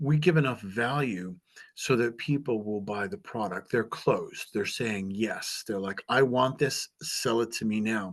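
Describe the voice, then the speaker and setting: A man's normal speaking voice at medium pitch, fairly slow in pace, with ordinary pitch variation against a quiet background. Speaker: author and job interview coach. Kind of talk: presentation.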